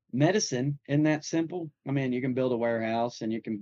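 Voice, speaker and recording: This voice has a dark, mellow tone and a strong Southern US accent, with ordinary pitch variation. The pace is fairly quick, and the sound is dry and close with no echo. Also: man. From Nashville, Tennessee. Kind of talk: casual chat.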